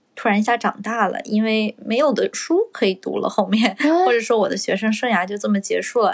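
Her voice is a normal speaking voice, as a woman talks at a fairly high pitch with ordinary pitch variation. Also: fairly quick pace. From China. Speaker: podcast co-host, recent graduate. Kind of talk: casual chat. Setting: at home.

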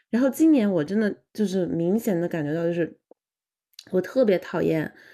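Against a quiet background, a woman with a dark, mellow tone and medium pitch talks at a moderate pace with lively intonation. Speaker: podcast co-host, graduate student. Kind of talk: casual chat.

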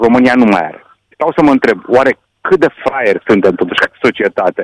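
A man's voice comes through dry and close, with no echo, as he talks at a moderate pace. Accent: Hungarian. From Romania, Satu Mare county (Hungarian community). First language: Hungarian (speaking Romanian). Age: 60s. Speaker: sports journalist. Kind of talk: radio interview.

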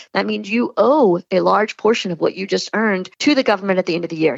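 A woman talks at a fairly quick pace in an animated tone with a medium pitch. Vocal fry runs through her voice. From Louisiana, Lafayette area. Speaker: brand strategist. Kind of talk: interview.

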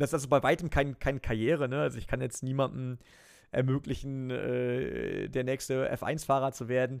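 The delivery holds a moderate pace. A normal speaking voice is heard. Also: man. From western Germany near the Dutch border. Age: 30s. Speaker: esports presenter and racing team owner. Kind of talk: interview.

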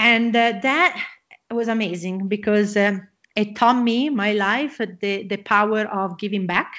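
A woman's fairly high voice in an Italian accent, fairly slow, with ordinary pitch variation. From Italy. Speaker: motocross champion and entrepreneur. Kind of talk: interview. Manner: excited.

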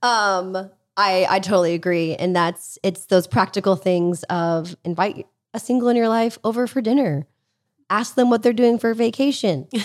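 This woman has an unremarkable speaking voice at a medium pitch, with ordinary pitch variation, a moderate pace and very even loudness. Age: 30s. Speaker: podcast host, former missionary. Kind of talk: casual interview chat; scripted intro and outro. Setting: in person at guest's home.

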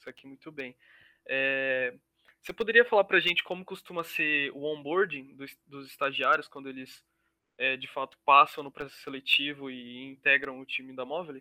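Using an ordinary speaking voice, a man with a fairly high pitch and ordinary pitch variation speaks at a moderate pace with big swings in loudness. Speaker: student podcast co-host. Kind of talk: interview.

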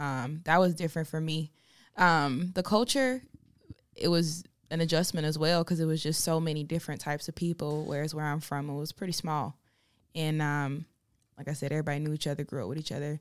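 A woman with a very deep, low voice and an American accent speaks fairly quickly with ordinary pitch variation on a very clean recording with a silent background. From Farmville, North Carolina. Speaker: R&B singer. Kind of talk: casual chat. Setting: studio.

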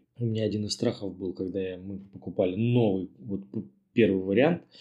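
A man speaks with a dark, mellow tone at a fairly low pitch. The background is quiet. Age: 30s. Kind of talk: recorded personal story.

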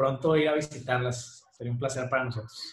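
A man with a medium-pitched, somewhat breathy voice speaks at a fairly slow pace with fairly even intonation. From Mexico, Monterrey. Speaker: rock band singer. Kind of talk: casual interview. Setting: video call.

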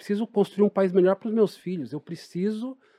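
A man with a high pitch and a dark, mellow tone speaks with ordinary pitch variation, the sound dry and close with no echo. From Greater São Paulo (Poá, east side periphery). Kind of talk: interview conversation.

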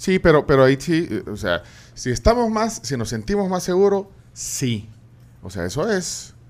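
Moderate pace with long, frequent pauses and very wide pitch swings. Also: man, fairly high pitch for a man. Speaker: radio host. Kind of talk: interview. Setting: studio. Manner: halting.

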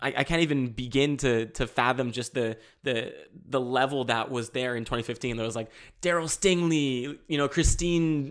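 At a moderate pace, a man with a medium pitch and ordinary pitch variation sounds animated on a very clean recording with a silent background. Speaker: parkour athlete and aspiring actor. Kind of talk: casual chat. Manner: loud.

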